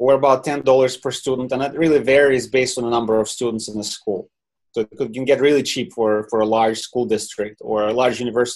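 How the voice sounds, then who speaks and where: With a Ukrainian accent, a man speaks at a very fast pace. His pitch is medium and his intonation fairly even. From Ukraine. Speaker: software company founder. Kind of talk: webinar interview. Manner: halting.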